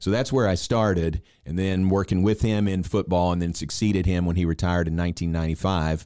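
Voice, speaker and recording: A man with a very deep, low pitch and a dark, mellow tone talks at a very fast pace. His intonation is fairly even, and the recording is very clean with a silent background. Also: hardly any pauses, very even loudness. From Kentucky. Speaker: sports broadcaster. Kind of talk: casual chat.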